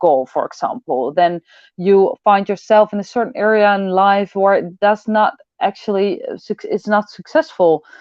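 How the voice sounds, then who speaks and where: At a moderate pace, a woman with a Dutch accent speaks in a medium pitch. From Netherlands. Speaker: personal development coach. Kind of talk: online event talk. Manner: halting, many fillers.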